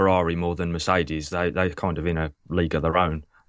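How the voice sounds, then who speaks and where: A man with an English accent, very deep and low in pitch, at a very fast pace. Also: quiet background. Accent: quintessentially English. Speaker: F1 technical analyst. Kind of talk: casual chat.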